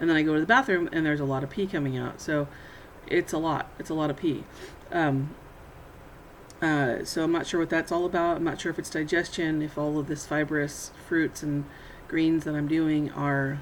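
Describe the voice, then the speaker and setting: Very deep, low female voice, moderate in pace and fairly even in intonation. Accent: American. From Burbank, California. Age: 40s. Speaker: housewife. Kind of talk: casual video diary to camera. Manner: hesitant, many fillers.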